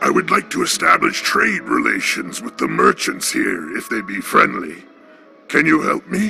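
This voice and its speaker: A man puts on a character voice at a moderate pace. Clear music plays in the background. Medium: solo performance. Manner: formal, old-fashioned.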